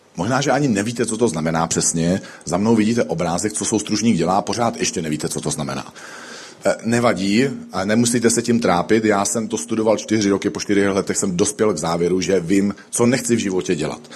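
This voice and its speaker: Noticeable background noise sits behind a man speaking at fairly low pitch. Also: ordinary pitch variation, fairly quick pace. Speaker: pastor. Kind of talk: sermon.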